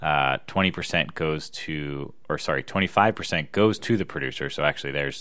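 A man with an American accent, very deep and low in pitch, with vocal fry, a bright, sharp tone, ordinary pitch variation and a fairly quick pace. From US Northeast, Philadelphia area. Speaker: podcast co-host. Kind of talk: casual chat. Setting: home recording.

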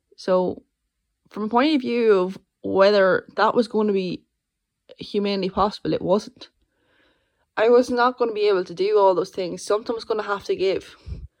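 Long, frequent pauses within a moderate pace, plus ordinary pitch variation. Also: woman, medium pitch for a woman. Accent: Irish. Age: 20s. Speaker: podcast host and master's student. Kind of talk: solo monologue. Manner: halting.

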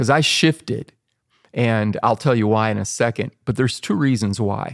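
A man with a plain, everyday voice, medium pitch and ordinary pitch variation at a moderate pace, dry and close with no echo, on a very clean recording with a silent background. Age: 60s. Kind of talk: casual interview conversation.

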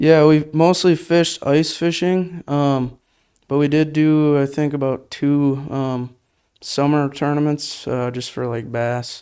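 In a very clean recording with a silent background, a man speaks very slowly in a dark, mellow tone, his fairly high pitch held in fairly even intonation. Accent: Wisconsin. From Wisconsin, Menasha. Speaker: college angler and camera operator. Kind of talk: casual interview.

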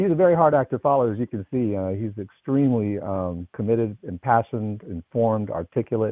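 With an unremarkable speaking voice, the speaker moves at a fairly quick pace with lively intonation and hardly any pauses. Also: man, medium pitch for a man. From US West Coast, Los Angeles. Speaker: think tank leader and senior fellow. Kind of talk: panel discussion.

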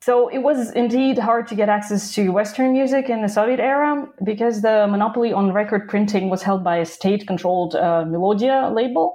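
A woman speaks with a Russian accent at a fairly quick pace. Her pitch varies normally and her loudness stays very even. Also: fairly high pitch for a woman. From southern Russia (Krasnodar). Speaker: professor. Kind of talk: interview.

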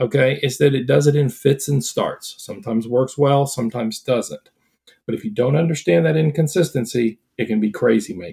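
Somewhat breathy and dark, mellow in tone, a man speaks at a fairly quick pace with a medium pitch and ordinary pitch variation. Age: 60s. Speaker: licensed counselor specializing in ADHD. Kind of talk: interview.

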